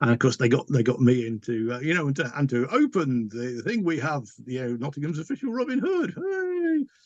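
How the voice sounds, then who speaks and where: A man speaks at a fairly quick pace with an English accent. The sound is dry and close, with no echo. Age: 60s. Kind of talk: interview. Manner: halting.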